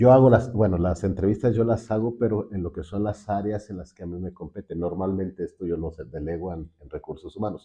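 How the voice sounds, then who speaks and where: A man's somewhat breathy, fairly low voice at a fairly quick pace, with big swings in loudness, ordinary pitch variation and hardly any pauses. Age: 60s. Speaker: finance director and university lecturer. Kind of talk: interview.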